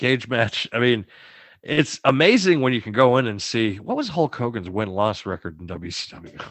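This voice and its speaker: Using an ordinary speaking voice with an American accent, a man at medium pitch talks at a moderate pace with lively intonation and big swings in loudness. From US Northeast, Boston. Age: 30s. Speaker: podcast co-host. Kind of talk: casual chat.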